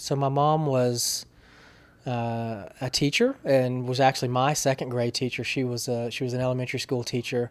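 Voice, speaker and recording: The speaker has an Alabama accent and a monotone, flat intonation. The recording is very clean, with a silent background. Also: man, medium pitch for a man, moderate pace. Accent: Southern American (Alabama). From US South, small-town Alabama. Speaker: public relations professional. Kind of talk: interview, personal story. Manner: halting, many repetitions.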